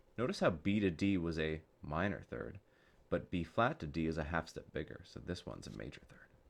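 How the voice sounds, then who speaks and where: A soft-spoken man talks at a moderate pace in a very deep, low pitch. Vocal fry runs through his voice. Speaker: music teacher. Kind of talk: soft-spoken ASMR music theory tutorial.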